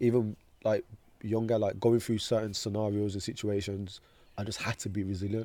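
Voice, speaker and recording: With a dark, mellow tone and fairly low pitch, a man talks fairly quickly in a flat monotone, leaving long, frequent pauses. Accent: Birmingham. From Birmingham, England. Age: 20s. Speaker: motivational speaker. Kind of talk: casual interview.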